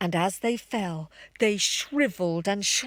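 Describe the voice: Ordinary pitch variation during plain reading aloud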